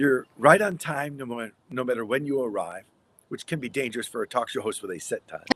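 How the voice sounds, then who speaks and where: A man with an American accent, medium pitch, lively intonation and a fairly quick pace. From US Midwest. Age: 60s. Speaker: radio broadcaster and story coach. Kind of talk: interview conversation.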